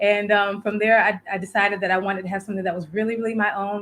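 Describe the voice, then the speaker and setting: A woman's medium-pitched voice in a Southern US accent, monotone and flat in intonation. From South Florida. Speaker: virtual producer and community builder. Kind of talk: interview.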